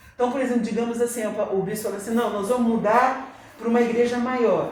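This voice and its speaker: Amid noticeable background noise and audible room echo, a man speaks in a high voice with fairly even intonation. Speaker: church teacher. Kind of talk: Bible class lecture. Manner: conversational, addressing the class.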